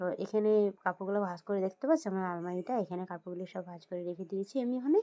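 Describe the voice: A woman's very fast speech at medium pitch, dark and mellow in tone, with ordinary pitch variation and a dry, close sound with no echo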